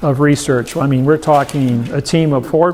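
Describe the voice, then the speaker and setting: At a moderate pace, a man with a plain, everyday voice speaks in a fairly high pitch with fairly even intonation. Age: 60s. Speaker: seminar speaker. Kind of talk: seminar Q&A.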